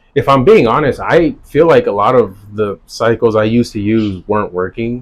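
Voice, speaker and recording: This is a man with an ordinary speaking voice and an American accent, pitched at a medium level. He talks at a moderate pace with ordinary pitch variation. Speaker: DJ. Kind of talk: casual interview chat.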